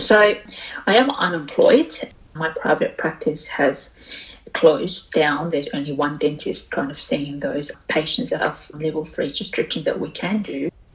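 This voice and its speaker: With an Australian accent, a woman talks at a fairly slow pace over noticeable background noise. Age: 20s. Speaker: oral health therapist. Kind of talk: interview.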